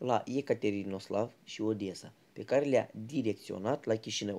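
A man speaks in a dark, mellow tone. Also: quiet background. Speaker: history student presenter. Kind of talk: scripted narration.

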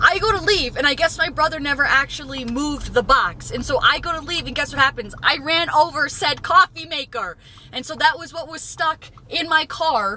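Using a raised, projected voice, a woman speaks at a moderate pace in a dry sound with no echo and light background noise. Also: lively intonation. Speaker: fitness vlogger. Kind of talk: casual vlog chat. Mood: animated, exasperated storytelling. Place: car. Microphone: phone near.

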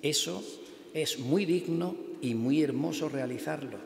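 A fairly high male voice with audible room echo. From Turre, Almería, Andalusia; Andalusia. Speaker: Holy Week proclaimer; speaker. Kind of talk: formal proclamation speech. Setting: church. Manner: formal. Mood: solemn, devotional. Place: church. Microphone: podium.

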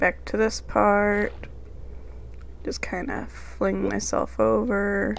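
A woman speaks at a very slow pace with long, frequent pauses. Echo from the room is audible. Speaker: gaming YouTuber. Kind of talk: let's play commentary. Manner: casual, muttering to self.

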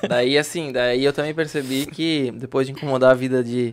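A man's flat, monotone delivery at a moderate pace. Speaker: real estate agent; podcast guest. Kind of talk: casual interview; interview answer. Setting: studio. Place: studio. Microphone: studio mic.

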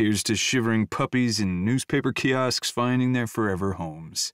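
In a put-on character voice with a rumbling, confident tone, the speaker goes at a moderate pace with very even loudness, captured as a dry, close sound with no echo on a very clean recording over a silent background. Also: man, medium pitch for a man. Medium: read story. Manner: confident, charming.

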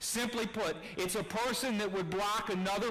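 A man's raised, projected voice at a moderate pace. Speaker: preacher. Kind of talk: sermon. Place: church.

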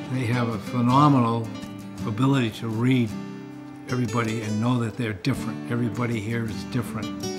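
A man talks at a fairly quick pace while music plays clearly in the background. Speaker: grandfather, former military pilot. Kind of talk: interview answer. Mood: earnest, warm. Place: home room.

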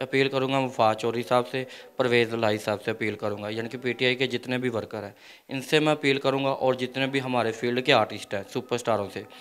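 Fairly even intonation marks this man's delivery, which proceeds at a moderate tempo. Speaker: interviewee. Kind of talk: interview answer, public appeal. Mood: pleading, distressed appeal for help. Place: home room. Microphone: handheld.

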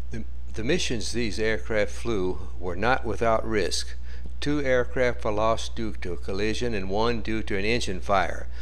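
A man with a very deep, low voice, ordinary pitch variation and a fairly slow pace, over noticeable background noise. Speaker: documentary narrator. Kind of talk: wartime-documentary-style narration over archival footage. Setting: voiceover on a slideshow video. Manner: formal, steady, newsreel-like delivery.

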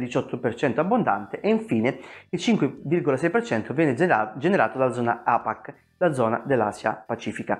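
Against a quiet background, a man with a fairly high pitch speaks with very wide pitch swings. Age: 40s. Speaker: personal finance youtuber. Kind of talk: video monologue. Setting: at home. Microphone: lapel.

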